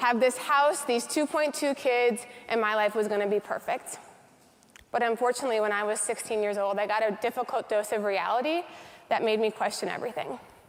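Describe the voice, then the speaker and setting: A normal speaking voice from a woman, fairly high in pitch, with ordinary pitch variation and a fairly quick pace. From US Midwest, North Dakota. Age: 30s. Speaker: motivational speaker. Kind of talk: keynote speech.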